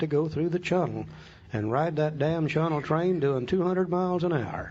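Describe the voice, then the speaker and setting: At a moderate pace, the voice carries audible room echo. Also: man. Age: 60s. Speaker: AA speaker, recovering alcoholic. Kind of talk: talk on recovery steps with reading aloud. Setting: room with audience.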